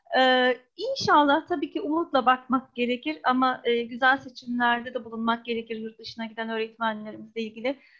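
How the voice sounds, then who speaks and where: A woman with a high voice speaks with ordinary pitch variation and hardly any pauses against a quiet background. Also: moderate pace. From grew up abroad, Turkish diaspora. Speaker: audience member. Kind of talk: audience question. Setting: video call. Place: home room. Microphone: earbuds.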